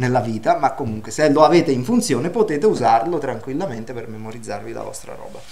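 A man talks at a very fast pace. Light background noise is audible. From Naples, southern Italy; southern Italy. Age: 50s. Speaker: database administrator giving a technical seminar; speaker. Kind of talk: technical lecture. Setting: university seminar room, livestreamed. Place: classroom.

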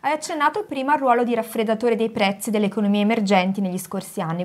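This woman talks at a very fast pace with lively intonation. Her voice is fairly high. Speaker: co-host interviewer. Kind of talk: book presentation interview. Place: home room.

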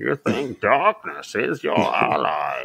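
A man stretches out a put-on character voice at a very slow pace. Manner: menacing, muffled.

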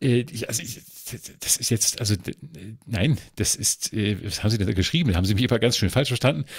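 A man with a medium pitch talks at a fairly quick pace, somewhat breathy, with ordinary pitch variation. Long pauses come often. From northern Germany. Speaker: culture journalist. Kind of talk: casual chat. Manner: halting, many filler sounds.

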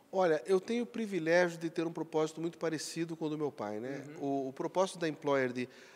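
This man has an unremarkable speaking voice pitched fairly high. He talks at a fairly quick pace. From Acre, Brazil. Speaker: company executive; interviewee. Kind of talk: interview. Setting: corporate event venue. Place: hall. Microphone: handheld.

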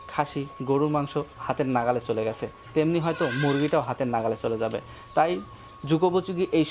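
There is noticeable background noise as a man talks in a fairly high pitch. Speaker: agriculture YouTuber interviewing farmers. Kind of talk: on-location interview and report.

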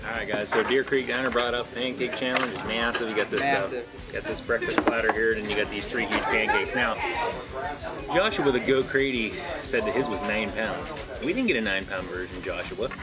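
Loud background noise surrounds a man speaking at a fairly quick pace with ordinary pitch variation. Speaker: food challenge host. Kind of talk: casual vlog chat. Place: cafe. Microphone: camera far.

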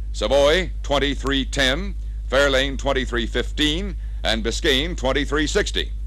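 Speech at a very slow pace comes through dry, with no echo. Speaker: sales training film narrator. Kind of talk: scripted sales pitch narration for a slide-film training record.

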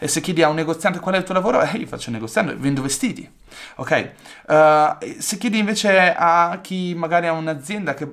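Very fast and lively in intonation, a man speaks at a high pitch. The background is quiet. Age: 20s. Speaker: digital entrepreneur, YouTuber; YouTuber. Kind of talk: talking-head monologue to camera. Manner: enthusiastic. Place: home room.

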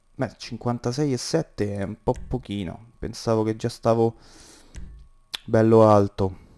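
Music plays in the background. A man speaks very slowly in a medium pitch. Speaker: gaming youtuber. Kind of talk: let's play commentary. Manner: animated.

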